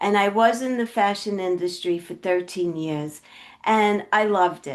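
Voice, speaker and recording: A woman with a Brooklyn accent at a medium pitch and moderate pace, ordinary pitch variation, big swings in loudness, and a quiet background. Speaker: health coach. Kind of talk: podcast interview.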